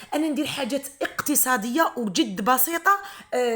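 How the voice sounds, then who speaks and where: A woman with an Algerian accent speaks at a moderate pace, her bright, sharp tone carried by lively intonation. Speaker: homemaker and mother; psychologist. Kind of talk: casual talk to camera, home routine vlog.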